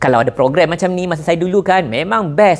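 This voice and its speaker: A man's intonation is lively as he speaks at a moderate pace. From Malaysia. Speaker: entrepreneur and business influencer; business influencer. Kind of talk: sponsored promotional video. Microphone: lapel.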